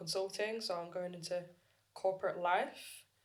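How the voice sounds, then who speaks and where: Audible room echo surrounds a woman speaking at medium pitch and a moderate pace. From northern England, Leeds. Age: 20s. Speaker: podcast co-host, recent graduate. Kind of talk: casual chat. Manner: animated.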